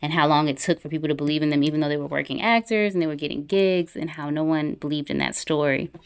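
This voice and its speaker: In a very deep, low voice, a woman with an American accent speaks in an animated tone on a very clean recording with a silent background. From US South, Atlanta area (Clayton County, Georgia). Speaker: filmmaker and screenwriter. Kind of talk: casual interview chat. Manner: animated, laughs often.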